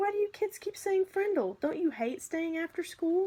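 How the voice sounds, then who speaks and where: A woman puts on a squeaky character voice at an extremely high pitch. Her intonation is lively and her pace moderate. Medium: read story. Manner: brisk, inquisitive.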